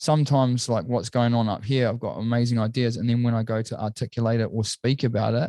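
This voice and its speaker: With a New Zealand accent, a man with a dark, mellow tone speaks at a very fast pace with hardly any pauses and fairly even intonation, over a quiet background. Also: medium pitch for a man. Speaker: entrepreneur. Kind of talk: casual chat.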